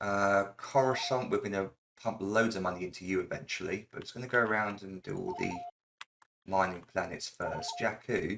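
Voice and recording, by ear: At a moderate pace, a man with a low pitch, vocal fry and a fairly bright tone speaks with ordinary pitch variation.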